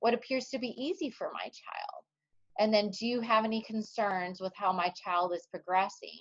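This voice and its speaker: Loud and fairly high-pitched, a woman talks at a moderate pace with ordinary pitch variation. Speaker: speech therapist / webinar speaker. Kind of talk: webinar presentation. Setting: online webinar.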